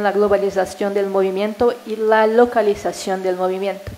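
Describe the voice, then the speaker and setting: A woman speaks at a medium pitch with monotone, flat intonation over noticeable background noise. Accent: Portuguese. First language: Portuguese (speaking Spanish). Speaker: professor. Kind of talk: academic talk. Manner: hesitant.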